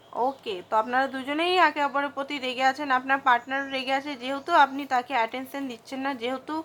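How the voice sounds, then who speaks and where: Her voice raised and projected, a woman speaks at a high pitch with ordinary pitch variation and a bright, sharp tone. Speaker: tarot card reader. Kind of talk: tarot reading monologue.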